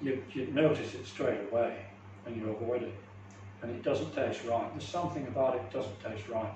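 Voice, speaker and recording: An English accent at a fairly quick pace, with ordinary pitch variation, audible room echo and noticeable background noise. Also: man, medium pitch for a man. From England. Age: 70s. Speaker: natural hygiene speaker. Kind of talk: talk and Q&A. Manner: halting, repeats words.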